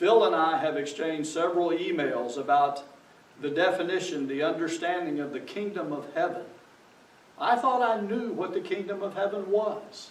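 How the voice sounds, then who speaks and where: Speaking at a moderate pace, a man has a high pitch. Audible room echo and noticeable background noise surround his voice. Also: ordinary pitch variation. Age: 60s. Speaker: pastor. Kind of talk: sermon.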